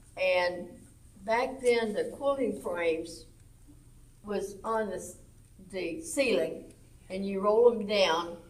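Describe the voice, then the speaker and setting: A woman speaks at a very slow pace with an American accent and a medium pitch. Audible echo fills the room. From Arkansas, US South. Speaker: senior center quilting group lead. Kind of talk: casual chat. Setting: senior center. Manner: loud.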